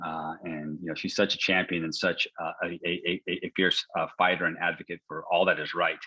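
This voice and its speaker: The voice has an American accent and a bright, sharp tone at a fairly quick pace. The sound is dry and close with no echo over a quiet background. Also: man. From California. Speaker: state legislator. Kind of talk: interview. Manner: halting.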